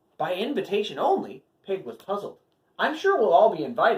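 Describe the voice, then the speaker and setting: Someone uses a put-on character voice with a fairly high pitch at a fairly quick pace. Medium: read story.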